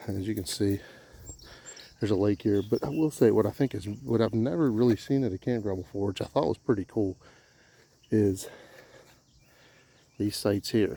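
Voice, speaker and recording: A quiet man's fairly low voice, dark and mellow in tone, with ordinary pitch variation and long, frequent pauses. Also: moderate pace. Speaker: camping vlogger. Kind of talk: casual walkthrough vlog. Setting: outdoors. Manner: halting.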